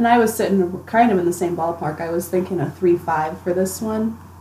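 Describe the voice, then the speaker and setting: A woman with a fairly low voice speaks at a moderate pace, with ordinary pitch variation. Noticeable background noise runs underneath. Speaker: guest taster. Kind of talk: casual tasting chat.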